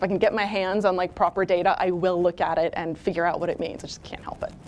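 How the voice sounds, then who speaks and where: A woman at medium pitch speaks very fast over noticeable background noise. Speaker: keynote speaker. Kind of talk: keynote talk. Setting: stage with audience. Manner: animated.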